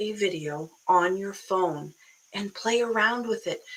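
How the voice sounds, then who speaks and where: An American accent with ordinary pitch variation. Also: woman. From Boston area, US. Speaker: online business coach. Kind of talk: live stream talk. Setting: live video stream. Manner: animated, casual.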